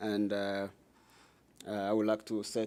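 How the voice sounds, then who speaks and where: Speaking with a strong Congolese accent, a man has a fairly low pitch and a dark, mellow tone. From Democratic Republic of the Congo. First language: French. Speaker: nonprofit director, former refugee. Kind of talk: public talk. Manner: halting, broken English.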